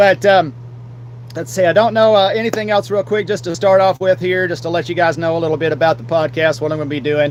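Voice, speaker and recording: A man with an Appalachian accent talks loudly and very fast in a high voice with lively intonation, amid noticeable background noise. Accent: Southern US, Appalachian. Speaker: podcast host and streamer. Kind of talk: live solo podcast talk. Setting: live stream with green screen. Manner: halting, many fillers.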